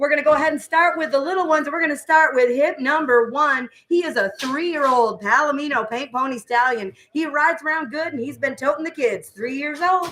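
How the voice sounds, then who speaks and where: A woman talks loudly at a high pitch in a bright, sharp tone, fairly quickly and with hardly any pauses, her pitch varying in an ordinary way. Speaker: online auction clerk. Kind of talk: auction announcements.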